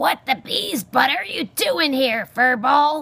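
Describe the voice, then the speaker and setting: A female-sounding, high-pitched put-on character voice, growling and gruff, delivered at a fairly slow pace. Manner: snarling, gruff.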